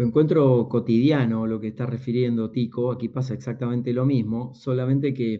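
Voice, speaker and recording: A man speaks in a Rioplatense accent at a fairly quick pace. His medium-pitched voice has monotone, flat intonation. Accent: Argentine Spanish (rioplatense). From Argentina, small town in Buenos Aires province. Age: 50s. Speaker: executive coach and speaker. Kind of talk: interview conversation.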